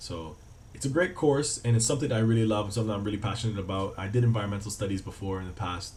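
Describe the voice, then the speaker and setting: A man speaks very fast with an American accent. The room echo is audible. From Cayman Islands. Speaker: travel vlogger and student. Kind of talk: casual vlog talk to camera. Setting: student flat. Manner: casual, with many fillers.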